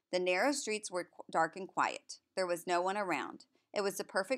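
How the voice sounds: A natural reading voice keeps fairly even intonation, and the background is quiet.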